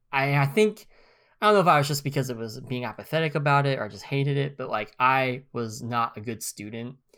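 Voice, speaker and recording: In an American accent, a man speaks at a fairly quick pace with a medium pitch, ordinary pitch variation, a bright, sharp tone, and big swings in loudness. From US, northeast Oklahoma near Missouri line. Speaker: podcast co-host. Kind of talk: casual chat.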